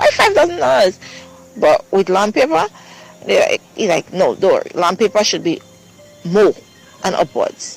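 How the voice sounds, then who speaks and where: A man talks with long, frequent pauses while music plays in the background. The sound is dry and close, with no echo. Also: moderate pace. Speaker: mother of victim telling story. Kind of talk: testimony. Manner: halting.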